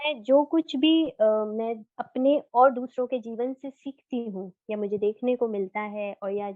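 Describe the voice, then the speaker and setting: In a plain, everyday voice, a woman speaks at a fairly high pitch with ordinary pitch variation. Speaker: poet. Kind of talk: interview answer.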